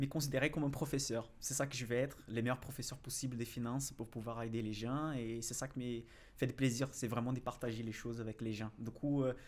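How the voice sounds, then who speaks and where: Speaking fairly quickly in a Brazilian accent, a man keeps a medium pitch with monotone, flat intonation. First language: Portuguese (speaking French). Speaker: financial analyst and investing YouTuber. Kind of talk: podcast interview. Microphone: far from the mic.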